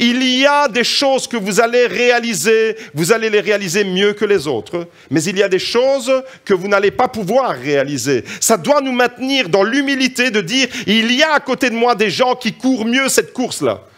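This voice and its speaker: At a moderate pace, a man speaks with an extremely high pitch, an animated tone and lively intonation. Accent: slight Italian. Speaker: preacher. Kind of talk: sermon.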